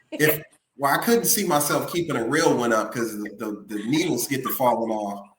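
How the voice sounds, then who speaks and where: With a Memphis accent, a man speaks at a moderate pace and medium pitch, his intonation lively. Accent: Southern US (Memphis). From Memphis, US South. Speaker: musician. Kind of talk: casual interview.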